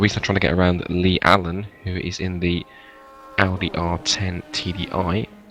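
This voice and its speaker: Soft-spoken and very deep, a man talks at a very low pitch over noticeable background noise. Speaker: sim racing commentator. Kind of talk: live commentary. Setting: at home, others sleeping.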